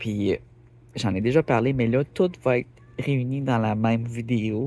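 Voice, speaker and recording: Ordinary pitch variation and a moderate pace mark this voice with a Quebec accent. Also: man. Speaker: rockhound YouTuber. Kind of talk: casual vlog talk. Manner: hesitant, many fillers.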